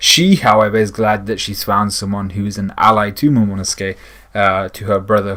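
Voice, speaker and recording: Quiet and fairly low-pitched, a man speaks at a moderate pace on a very clean recording with a silent background. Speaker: anime and manga reviewer. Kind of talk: chapter review monologue. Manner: speaking a little quietly; frequent word repetitions and fillers.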